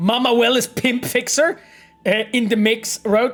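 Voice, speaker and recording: An animated tone in a Polish accent, delivered at a fairly slow pace. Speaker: game designer streaming gameplay. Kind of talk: casual live stream chat. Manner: halting.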